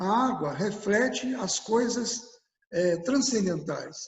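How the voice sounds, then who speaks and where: Man with a Minas Gerais accent, very slow pace and lively intonation. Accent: Minas Gerais Brazilian Portuguese. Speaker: environmentalist. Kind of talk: interview answer.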